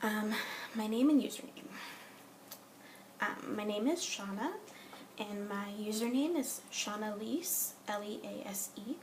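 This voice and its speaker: Speaking at a fairly slow pace with an American accent, a woman's fairly high voice carries audible room echo. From Southern California. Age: 20s. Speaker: vlogger. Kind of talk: casual vlog. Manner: hesitant, many filler ums.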